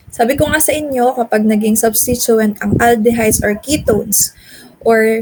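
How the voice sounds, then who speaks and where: A normal speaking voice, its intonation fairly even. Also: woman. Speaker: chemistry teacher. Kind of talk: lecture.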